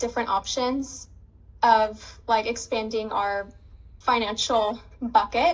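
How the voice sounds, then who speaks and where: At a fairly slow pace, a woman speaks in a plain, everyday voice at a fairly high pitch, on a very clean recording with a silent background. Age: 20s. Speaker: dropshipping student and business owner. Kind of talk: interview. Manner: casual, many fillers.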